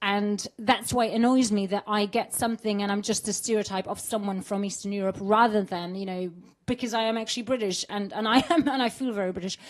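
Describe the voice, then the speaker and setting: Speech comes in a slight Polish accent at a fairly quick pace. There are hardly any pauses. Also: woman. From Poland. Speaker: actor. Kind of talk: interview. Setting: studio. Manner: animated; halting.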